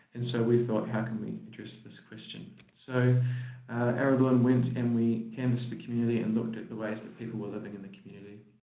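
Audible room echo follows a man talking at a very fast pace in a monotone, flat intonation. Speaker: presenter. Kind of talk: conference presentation. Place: hall.

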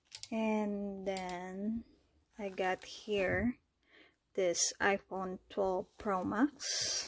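Dry with no echo, a woman talks at a very slow pace in monotone, flat intonation with a non-native accent. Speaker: fashion YouTuber. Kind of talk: product review. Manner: casual, hesitant with fillers. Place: home room. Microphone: phone near.

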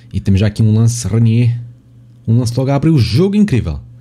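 With a European Portuguese accent, a man speaks at a fairly quick pace in a dark, mellow, somewhat breathy tone with lively intonation. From Portugal. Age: 20s. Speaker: gaming YouTuber. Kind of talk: gameplay commentary.

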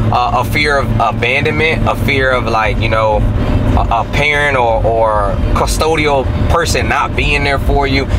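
A man keeps a moderate pace while loud noise fills the background. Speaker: host. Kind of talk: casual conversation. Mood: earnest, reflective. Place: car.

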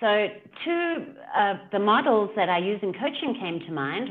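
Light background noise sits behind a woman speaking with a South African accent. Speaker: leadership coach. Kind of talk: casual interview chat. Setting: video call. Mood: animated, engaged. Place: home room. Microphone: video call.

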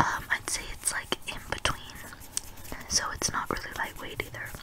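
Someone is whispering, with noticeable background noise behind them. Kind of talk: ASMR try-on haul voiceover. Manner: whispered.

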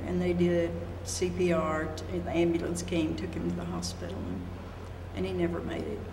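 At a moderate pace, a woman talks with a very deep, low pitch and monotone, flat intonation over noticeable background noise. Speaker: college health services director. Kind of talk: interview answer. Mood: somber, recounting a death. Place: studio.

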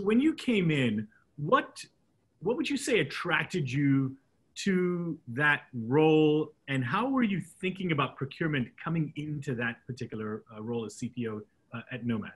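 Here a man speaks with a fairly high pitch and a somewhat breathy sound. His pitch swings very widely. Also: moderate pace. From Hong Kong. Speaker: podcast host. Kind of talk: interview. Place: office. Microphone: video call.

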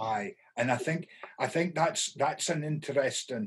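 A somewhat breathy, fairly high male voice in a northeast Scottish accent, fairly slow and lively in intonation, over light background noise. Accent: Doric Scots. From North-East Scotland. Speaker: professor. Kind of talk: podcast host conversation. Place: home room. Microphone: webcam.

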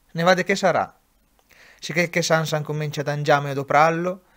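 A man with an Umbrian accent speaks at a moderate pace in a fairly high pitch with fairly even intonation, in a very clean recording with a silent background. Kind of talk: dialect poetry reading.

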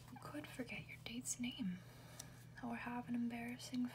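A moderate pace amid noticeable background noise. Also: woman. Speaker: ASMR reader. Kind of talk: ASMR whisper book reading. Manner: whispered, soft-spoken.

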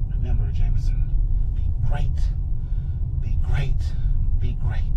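A man talks at a fairly slow pace. Loud background noise runs underneath. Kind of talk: comedic sketch dialogue. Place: car. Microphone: camera far.

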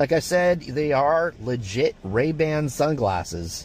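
Lively intonation comes through in a dry sound with no echo, with light background noise. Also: man. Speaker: vlogger. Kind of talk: casual vlog chat. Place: car.

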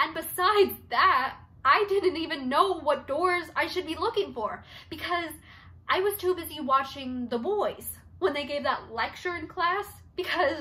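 A woman projects her voice with a bright, sharp tone. She speaks at a fairly slow pace with lively intonation. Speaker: actor doing an audition monologue. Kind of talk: dramatic monologue performance. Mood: expressive, shifting emotions. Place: home room. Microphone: phone near.

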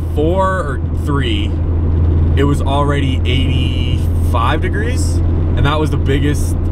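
The speaker is a man. His voice sounds dry with no echo, over loud background noise. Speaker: vlogger. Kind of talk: casual vlog chat. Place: car. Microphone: phone near.

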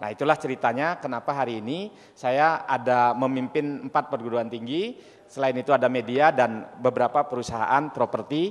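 A man talks at medium pitch with ordinary pitch variation. He keeps a moderate pace with hardly any pauses. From Indonesia, farming family. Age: 40s. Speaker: entrepreneur and university founder; speaker. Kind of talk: presentation with slides. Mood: cheerful, smiling. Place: hall. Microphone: handheld.

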